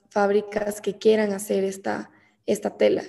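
A woman talks at a moderate pace in a medium pitch. Her intonation stays monotone and flat. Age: 20s. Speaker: entrepreneur, brand founder. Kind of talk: interview.

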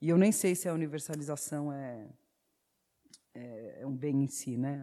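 In a dark, mellow tone, a woman speaks at a very deep, low pitch. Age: 40s. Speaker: YouTuber and theatre actress. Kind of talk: panel talk.

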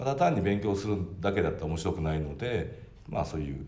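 With audible room echo around him, a man talks in a somewhat breathy voice and with lively intonation. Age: 40s. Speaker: company president. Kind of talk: casual chat.

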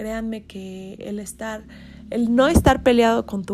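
Speaking at a very slow pace, a woman with a Mexican accent has a fairly high pitch and a dark, mellow tone. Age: 30s. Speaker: podcast host. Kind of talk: casual monologue. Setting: in bed.

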